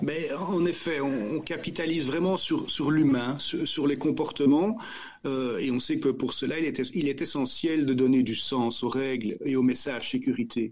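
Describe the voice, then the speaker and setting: Against noticeable background noise, a man with a Belgian accent speaks fairly slowly at a fairly high pitch with ordinary pitch variation. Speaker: company director. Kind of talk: podcast interview. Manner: halting, repeats words.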